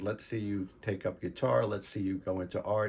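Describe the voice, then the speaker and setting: A man with an American accent talks at a fairly quick pace. His voice is somewhat breathy. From New York, Long Island (Queens, North Babylon). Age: 70s. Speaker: retired art teacher and artist. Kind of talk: personal reminiscence. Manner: halting, many fillers.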